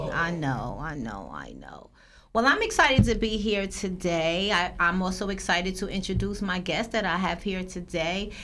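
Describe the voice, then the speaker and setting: Vocal fry and big swings in loudness mark a New Jersey accent with ordinary pitch variation, heard with audible room echo. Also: woman, medium pitch for a woman, moderate pace. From Paterson, New Jersey. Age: 40s. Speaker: podcast host. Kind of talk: interview.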